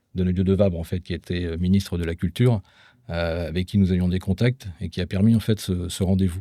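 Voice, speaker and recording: A man with a very deep, low pitch and a dark, mellow tone is heard in a very clean recording with a silent background. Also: dry, close sound with no echo. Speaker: former association president. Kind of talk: podcast conversation.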